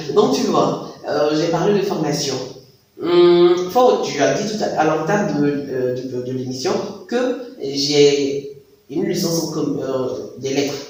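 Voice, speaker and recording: Amid noticeable background noise and audible room echo, a man talks at a very slow pace with lively intonation. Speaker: voice-over artist. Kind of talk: interview.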